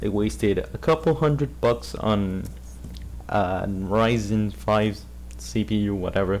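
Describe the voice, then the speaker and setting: A man's voice, fairly low in pitch. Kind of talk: casual commentary video. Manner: stuttering.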